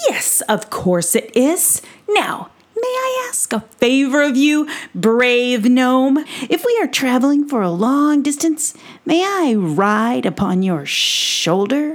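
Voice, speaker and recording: A woman puts on a character voice pitched high. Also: fairly slow pace. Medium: read story. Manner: bold, boastful, grandiose.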